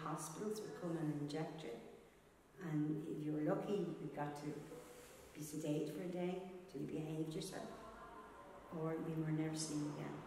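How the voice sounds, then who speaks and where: A woman speaks at a moderate pace in a very deep, low, monotone voice. Strong room echo and noticeable background noise surround her. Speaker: interviewee. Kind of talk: interview answer. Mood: earnest, recalling painful memories. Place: hall.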